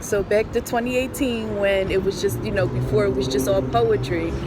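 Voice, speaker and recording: Against noticeable background noise, a woman talks at a moderate pace with hardly any pauses. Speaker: poet and musician. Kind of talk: casual interview. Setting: outdoors in Brooklyn street. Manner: soft-spoken but loud.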